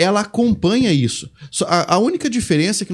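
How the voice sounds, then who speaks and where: A man talks at a fairly quick pace with lively intonation on a very clean recording with a silent background. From Brazil. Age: 30s. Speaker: Portuguese language teacher. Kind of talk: casual chat.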